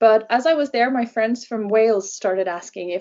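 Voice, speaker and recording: A woman with a Norwegian accent, at a moderate pace, with ordinary pitch variation. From Norway. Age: 20s. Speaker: travel blogger. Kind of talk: interview. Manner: hesitant, many fillers.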